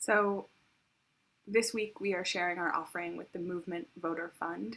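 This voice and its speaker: A soft-spoken woman talks at medium pitch. Her pitch variation is ordinary. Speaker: worship service leader. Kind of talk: offering announcement in worship service. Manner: halting with frequent fillers.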